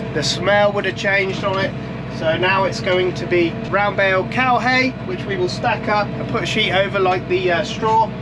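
Speaking with an English accent, a man with a high-pitched voice and a relaxed tone talks at a moderate pace with ordinary pitch variation, over noticeable background noise. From England. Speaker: farmer and video creator. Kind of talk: casual vlog narration. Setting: outdoors and in a tractor cab. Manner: relaxed, chatty. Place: farm machine. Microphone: phone near.

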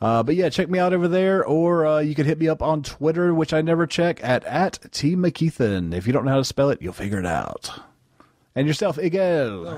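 In an ordinary speaking voice, a man talks at a fairly quick pace with lively intonation and a fairly high pitch. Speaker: podcast host reviewing bad movies. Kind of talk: casual comedic movie review chat.

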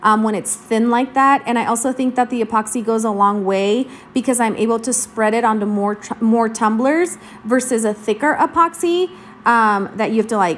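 A woman speaks at a moderate pace with a fairly high pitch. Her pitch rises and falls in an ordinary way. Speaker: crafting tutorial voiceover narrator. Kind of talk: casual, chatty. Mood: friendly, upbeat.

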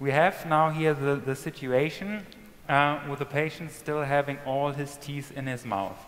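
The man keeps a moderate pace and fairly level intonation. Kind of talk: live procedure commentary. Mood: calm, focused.

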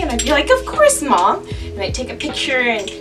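A woman talks at a fairly quick pace with clear music in the background. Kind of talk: casual vlog chat. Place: home room. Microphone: camera far.

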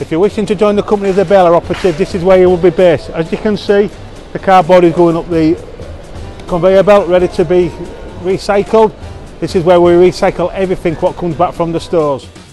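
Over faint background music, a man with a high pitch talks at a very fast pace in a monotone, flat intonation, with a dry sound and no echo. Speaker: warehouse staff guide. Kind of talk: walkthrough tour presentation. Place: factory. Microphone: phone near.

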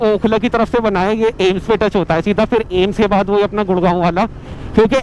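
A man speaks in a high pitch with monotone, flat intonation. The sound is dry with no echo, and there is light background noise. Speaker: motorbike rider vlogger. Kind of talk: casual vlog chat. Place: motorbike. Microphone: helmet.

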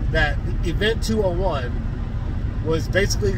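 A man's fairly slow voice, dry with no echo, over loud background noise. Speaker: vlogger. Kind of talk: casual rant vlog. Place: car. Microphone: phone near.

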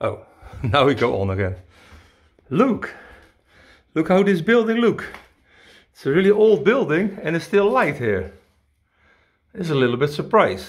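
Very wide pitch swings from a man at a moderate pace, with long, frequent pauses and a quiet background. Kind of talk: casual vlog commentary. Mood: curious, surprised. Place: home room. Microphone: phone near.

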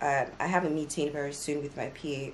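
Light background noise sits behind a woman. Her pitch is very deep and low, and her pace is moderate. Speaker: vlogger. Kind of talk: casual vlog chat. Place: home room. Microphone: phone near.

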